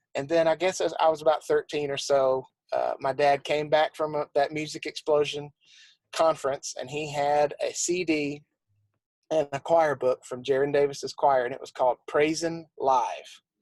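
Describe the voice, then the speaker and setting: A man with a Southern accent speaks in a monotone, flat intonation at a fairly high pitch and moderate pace, with a dry, close sound and no echo. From South Carolina. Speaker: church musician and arranger. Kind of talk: interview.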